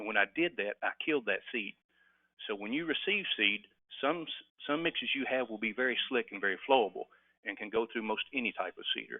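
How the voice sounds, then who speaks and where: Fairly quick, lively intonation from a man at medium pitch. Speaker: webinar presenter, native seed producer. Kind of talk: webinar presentation. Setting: online webinar. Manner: fast.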